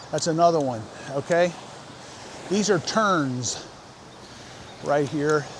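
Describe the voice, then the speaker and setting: A man's fairly high voice is heard against noticeable background noise. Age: 60s. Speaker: vlogger. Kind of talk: casual vlog narration. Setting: outdoors, riding a bike on the beach. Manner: casual, many fillers.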